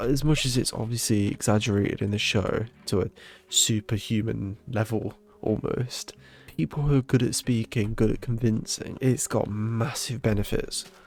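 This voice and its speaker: A man with a British accent, medium pitch and fairly even intonation. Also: moderate pace. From Britain. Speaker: gaming podcaster. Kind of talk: casual gameplay monologue.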